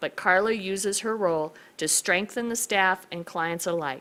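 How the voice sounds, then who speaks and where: Loud and bright with a sharp tone, a woman speaks at a medium pitch with ordinary pitch variation on a very clean recording with a silent background. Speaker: county commissioner presenting awards. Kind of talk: reading aloud award citation. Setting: public hearing room.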